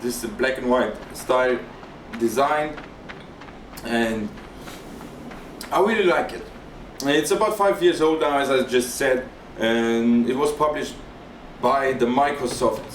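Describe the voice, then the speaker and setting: Against noticeable background noise and audible room echo, a man with a non-native accent and a medium pitch talks at a fairly slow pace with ordinary pitch variation and long, frequent pauses. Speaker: gaming YouTuber. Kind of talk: let's play commentary. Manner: hesitant, with fillers and repetitions.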